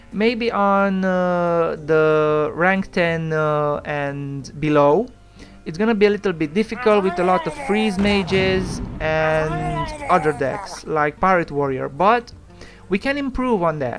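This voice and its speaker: With music behind them, the speaker moves along at a very slow pace. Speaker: gaming YouTuber. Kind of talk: gameplay commentary. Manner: halting with fillers.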